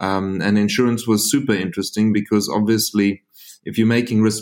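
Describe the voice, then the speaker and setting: At a fairly quick pace, a man with a South African accent talks in a fairly low, monotone voice with flat intonation. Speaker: insurance company founder and CEO. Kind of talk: interview. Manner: halting, with frequent repetitions.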